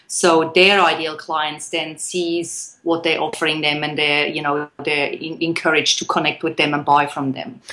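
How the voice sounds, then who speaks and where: A woman with a Swiss accent speaks at a very deep, low pitch, her tone bright and sharp. Her intonation is monotone and flat, and she talks at a moderate pace with hardly any pauses. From Switzerland. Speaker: copywriter, business owner. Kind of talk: interview.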